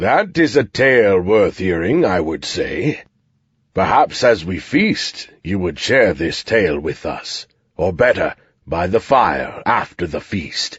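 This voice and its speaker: A put-on character voice from a man, fairly low in pitch, with very wide pitch swings and a fairly slow pace. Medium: read story. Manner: formal, courteous.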